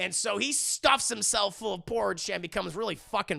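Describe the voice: Text read aloud plainly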